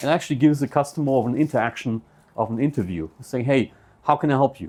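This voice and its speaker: Someone with a German accent talks at a very fast pace on a very clean recording with a silent background. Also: man. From Germany. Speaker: computer business owner. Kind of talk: seminar talk. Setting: presentation to audience.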